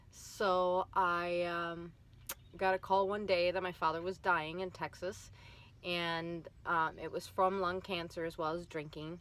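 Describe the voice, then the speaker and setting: A woman speaks with a Minnesotan accent at a fairly slow pace. Her fairly low voice stays monotone and flat. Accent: Minnesota. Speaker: vlogger. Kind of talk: personal vlog testimony. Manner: hesitant, many fillers.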